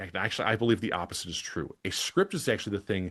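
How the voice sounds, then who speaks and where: A man with a Wisconsin accent talks in a fairly low pitch with lively intonation. The sound is dry and close with no echo, over a quiet background. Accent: Midwestern, Wisconsin idioms. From Wisconsin, Milwaukee (US Midwest). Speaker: podcasting coach and webinar presenter. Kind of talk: scripted webinar presentation. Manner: conversational, natural read.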